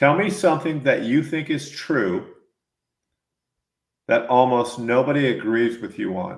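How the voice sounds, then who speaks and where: A man with a fairly high pitch talks at a fairly slow pace, using lively intonation and long, frequent pauses. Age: 60s. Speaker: podcast host interviewing mountain bikers. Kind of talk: casual interview chat.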